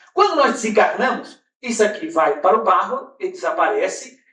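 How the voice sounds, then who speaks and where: An extremely high-pitched male voice with very wide pitch swings, a moderate pace and audible room echo. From Brazil. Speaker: spiritist lecturer. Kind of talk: lecture. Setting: conference hall with audience.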